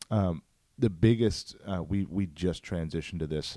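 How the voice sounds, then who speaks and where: A very clean recording with a silent background carries a dark, mellow tone. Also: man. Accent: American. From St. Louis, Missouri (North County). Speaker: pastor. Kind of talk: casual chat.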